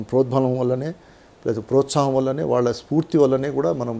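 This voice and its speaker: A man speaks at a medium pitch. Noticeable background noise runs under his voice. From Telangana, Nalgonda district. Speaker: retired tax official and advocate. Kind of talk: interview.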